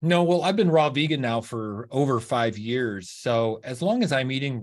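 A normal speaking voice with lively intonation at a moderate pace, over a quiet background. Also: man. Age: 50s. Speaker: raw vegan fitness coach. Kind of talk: podcast interview.

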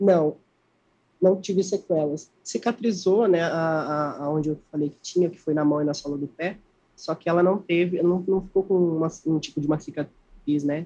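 A man speaks at a high pitch in a dark, mellow tone. His intonation stays fairly even. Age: 20s. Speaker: interviewee living with HIV. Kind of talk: interview. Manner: halting.

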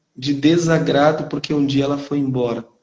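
At a fairly slow pace, a man speaks with fairly high pitch amid audible room echo. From Brazil, northeastern Minas Gerais. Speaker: teacher. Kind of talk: testimony.

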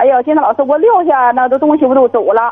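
A woman talks at a fairly quick pace. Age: 40s. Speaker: caller, divorced grandmother minding a shop. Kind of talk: phone-in call. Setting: phone call. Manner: halting, many fillers.

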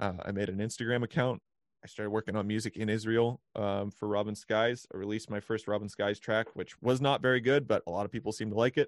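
A man with a fairly low pitch speaks at a very fast pace with fairly even intonation, in a dry, close sound with no echo against a quiet background. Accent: Western Canadian. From Canada, British Columbia (Vancouver). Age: 20s. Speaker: musician. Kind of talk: casual chat.

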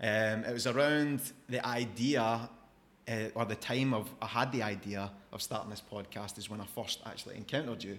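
A man speaks with a Scottish accent, his intonation fairly even. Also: medium pitch for a man, moderate pace. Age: 30s. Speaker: podcast host. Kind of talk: casual interview chat.

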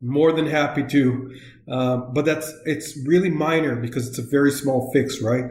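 At a moderate pace, a man speaks in a somewhat breathy, fairly high voice. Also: fairly even intonation. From northern Israel. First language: Hebrew. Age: 40s. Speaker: software localization expert. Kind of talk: interview. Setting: remote call.

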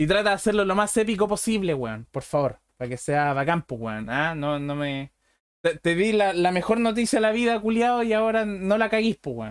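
Over a very clean recording with a silent background, a man with a high pitch talks at a moderate pace, his pitch swinging very widely. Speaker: podcast host. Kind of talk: casual chat. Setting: live stream. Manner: animated.

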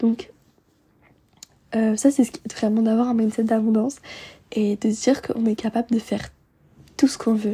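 With a dark, mellow tone and a husky, rough edge, a woman speaks at a fairly high pitch and a moderate pace, with little pitch movement and long, frequent pauses.

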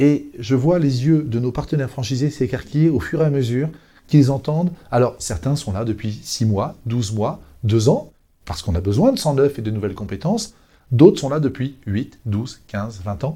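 With lively intonation and a moderate pace, a man's voice sits at medium pitch, somewhat breathy, with a dark, mellow tone. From Brittany, France (Brest). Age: 50s. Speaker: hotel chain franchise development director. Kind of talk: business podcast interview.

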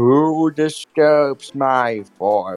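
A man puts on a character voice at a medium pitch. Faint music plays in the background. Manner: eerie, ominous.

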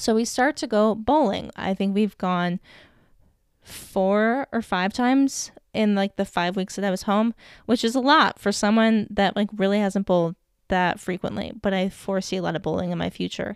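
A woman speaks with an American accent in an ordinary speaking voice at medium pitch and a moderate pace, with ordinary pitch variation, on a very clean recording with a silent background and a dry, close sound with no echo. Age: 20s. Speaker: podcast host. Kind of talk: personal storytelling monologue.

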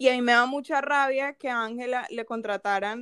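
A woman speaks at a high pitch with ordinary pitch variation. The recording is very clean with a silent background, and the sound is dry and close with no echo. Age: 20s. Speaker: podcast co-host, industrial engineer. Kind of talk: casual chat.

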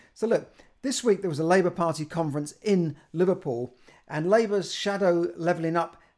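In a British accent, a man speaks on a very clean recording with a silent background. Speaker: personal finance youtuber. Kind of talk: solo video monologue. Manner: halting, with many repeated words.

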